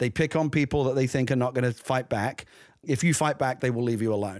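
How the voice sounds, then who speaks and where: Speaking in a London accent at a very fast pace, a man talks at a medium pitch. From London, East End. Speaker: screenwriter and novelist. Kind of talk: casual chat. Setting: video call.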